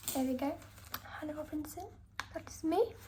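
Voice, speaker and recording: There is audible room echo. A woman's voice rings through it. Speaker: illustrator vlogger. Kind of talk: travel vlog. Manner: casual, chatty.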